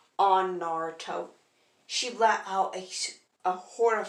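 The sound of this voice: Over a quiet background, the pitch of an unforced reading voice varies in an ordinary way.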